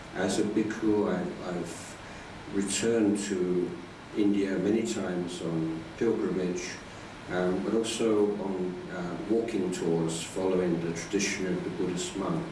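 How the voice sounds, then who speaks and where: A man with a British accent speaks at a very slow pace in a very deep, low pitch with monotone, flat intonation, amid audible room echo and noticeable background noise. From UK. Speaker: Buddhist monk. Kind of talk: dharma talk. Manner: hesitant, many fillers.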